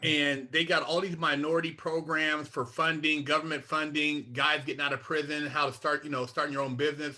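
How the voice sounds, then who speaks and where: A man with an American accent, a fairly high pitch and a bright, sharp tone, speaking at a fairly quick pace. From Sacramento, Northern California. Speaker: former inmate, mentor. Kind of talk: interview. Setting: video call. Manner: blunt, straight-talking.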